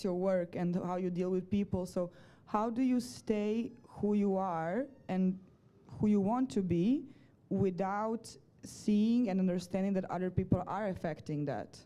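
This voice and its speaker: Against a quiet background, a woman speaks fairly slowly at a medium pitch, her tone dark and mellow with ordinary pitch variation. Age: 20s. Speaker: audience member asking a question. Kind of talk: audience question. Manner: loud.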